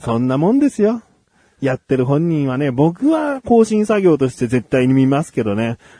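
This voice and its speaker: This man's voice has a dark, mellow tone and very wide pitch swings at a moderate pace, recorded with a dry, close sound and no echo. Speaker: radio host. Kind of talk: casual chat.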